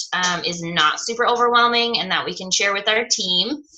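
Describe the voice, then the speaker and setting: Fairly high female voice with ordinary pitch variation and noticeable background noise. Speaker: fitness coach trainer. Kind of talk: online training presentation. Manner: fast.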